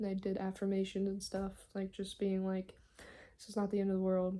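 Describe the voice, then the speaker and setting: The woman's voice sits at a medium pitch with a dark, mellow tone. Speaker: vlogger. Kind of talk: casual vlog. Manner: loud. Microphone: cheap mic, battery died.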